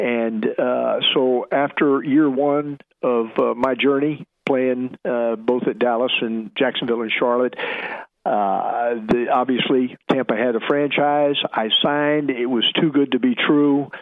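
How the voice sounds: With an American accent, the voice moves at a fairly slow pace with fairly even intonation. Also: man, medium pitch for a man.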